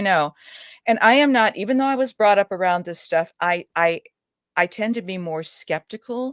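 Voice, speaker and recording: A woman with an unremarkable speaking voice talks at a moderate pace with medium pitch and lively intonation, in a dry, close sound with no echo. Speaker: author and family historian. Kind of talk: radio interview answer.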